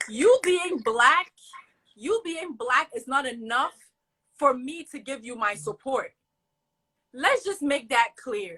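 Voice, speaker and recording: A woman with a high pitch speaks in a raised, projected voice, bright and sharp, with very wide pitch swings and big swings in loudness. She goes at a very slow pace with long, frequent pauses. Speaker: college student, social media creator. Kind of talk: casual chat. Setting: live video stream. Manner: animated.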